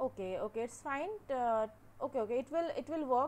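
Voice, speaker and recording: A woman at a moderate pace, her pitch varying in an ordinary way. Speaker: teaching assistant hosting an online class. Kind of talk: casual setup talk before a lecture. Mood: patient, slightly unsure. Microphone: webcam.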